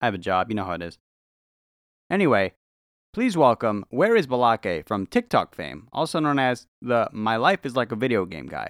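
A man talks at a moderate pace with very wide pitch swings and vocal fry. The sound is dry and close, with no echo. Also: medium pitch for a man. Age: 20s. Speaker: podcast host. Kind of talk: casual chat.

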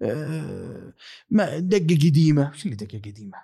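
In a Saudi accent, the voice has a dark, mellow tone and lively intonation. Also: man. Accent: Saudi Gulf Arabic. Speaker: football podcaster. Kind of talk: casual monologue. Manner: soft-spoken.

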